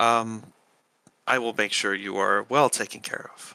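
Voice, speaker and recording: In a put-on character voice, a man speaks with a raspy, medium-pitched tone that is calm, with fairly even intonation at a moderate pace. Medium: actual play. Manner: calm, gracious.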